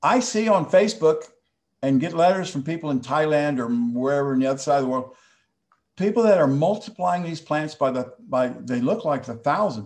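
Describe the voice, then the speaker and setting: A man with an American accent has a plain, everyday voice. His pitch is fairly high, his intonation lively and his pace fairly quick. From Texas. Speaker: plant hybridizer. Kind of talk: online presentation. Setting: video call.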